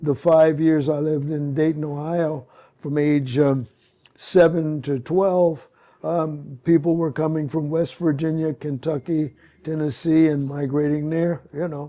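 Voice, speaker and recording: Speaking at a fairly slow pace, a man with a fairly high pitch keeps a monotone, flat intonation. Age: 80s+. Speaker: sculptor. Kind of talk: panel Q&A.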